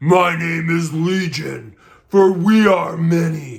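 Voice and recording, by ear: Speaking very slowly, a man uses a high-pitched, put-on character voice.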